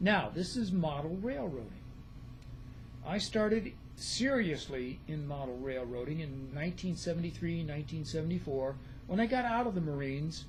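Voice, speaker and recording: Audible room echo surrounds a man speaking at a moderate pace, his somewhat breathy voice fairly high in pitch with lively intonation. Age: 70s. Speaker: retired nurse and model railroader. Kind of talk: casual vlog introduction.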